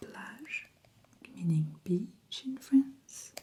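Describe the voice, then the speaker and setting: This soft-spoken voice carries a French accent. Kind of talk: ASMR role-play, travel agent.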